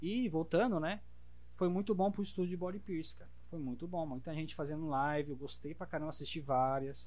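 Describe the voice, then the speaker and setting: A man talks at a fairly quick pace with a fairly high pitch and ordinary pitch variation. Audible room echo surrounds his voice. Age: 30s. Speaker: body piercer. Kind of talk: casual chat.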